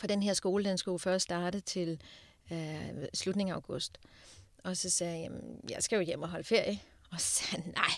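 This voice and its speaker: A woman speaks at a moderate pace and medium pitch with ordinary pitch variation. She has an unremarkable speaking voice. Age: 40s. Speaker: diamond dealer and speaker. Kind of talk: interview. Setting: studio.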